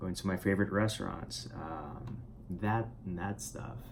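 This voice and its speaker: A man's very deep, low voice at a fairly slow pace, with audible room echo. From Puerto Rico. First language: Spanish. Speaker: writer and vlogger. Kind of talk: casual vlog monologue. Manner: halting, many fillers and repetitions.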